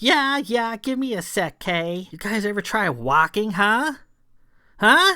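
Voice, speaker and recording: A put-on character voice with a fairly high pitch moves at a fairly slow pace in a very clean recording with a silent background. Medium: read story. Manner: crude, taunting, says "huh?" a lot.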